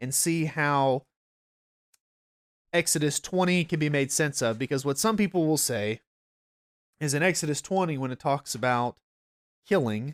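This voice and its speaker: Recorded very cleanly against a silent background with a dry, close sound and no echo, a man with a North Georgia accent speaks at a moderate pace in a relaxed tone, with a fairly high pitch and ordinary pitch variation. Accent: Southern US (North Georgia). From US South, North Georgia. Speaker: pastor. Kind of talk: Bible study. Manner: relaxed, conversational.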